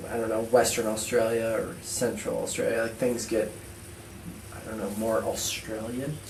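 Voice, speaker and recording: A man with an American accent at medium pitch, monotone and flat, at a moderate pace, with audible room echo and noticeable background noise. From United States. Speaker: podcast co-host, endurance coach. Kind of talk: casual chat. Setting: recording remotely from Australia.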